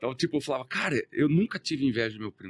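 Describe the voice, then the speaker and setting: The recording is dry and close, without echo. A man speaks very fast. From Brazil, countryside (interior). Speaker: entrepreneur. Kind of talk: podcast interview.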